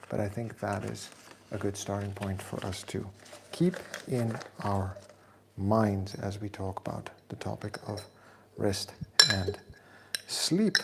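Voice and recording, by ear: With audible room echo around him, a man speaks slowly at a fairly low pitch with vocal fry, little pitch movement, and long, frequent pauses.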